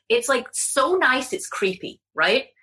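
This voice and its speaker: A woman with an English accent has a bright, sharp tone. Her pitch swings very widely. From England. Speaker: confidence coach. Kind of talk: casual chat.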